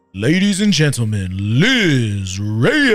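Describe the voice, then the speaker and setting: A man's put-on character voice at a medium pitch, fairly slow, with very wide pitch swings and faint music in the background. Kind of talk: formal announcer. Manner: booming, showy.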